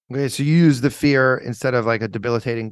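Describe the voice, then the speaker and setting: Against a quiet background, a man with an American accent speaks at a very fast pace. His pitch variation is ordinary. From South Florida. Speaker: podcast host, lawyer. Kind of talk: casual interview.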